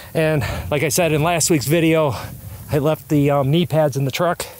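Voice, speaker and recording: Male speech at a moderate pace with ordinary pitch variation, a dry sound with no echo and light background noise. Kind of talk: casual vlog commentary. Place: open country. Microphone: phone near.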